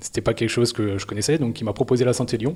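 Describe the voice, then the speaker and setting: A man speaks with a somewhat breathy voice. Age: 20s. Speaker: amateur trail runner. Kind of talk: interview. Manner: hesitant, many fillers.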